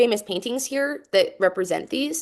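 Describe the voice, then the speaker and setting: A woman speaks with a Utah accent. Her intonation is lively. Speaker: composer and music educator. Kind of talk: presentation to students over video call. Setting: video call. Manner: casual, with many fillers.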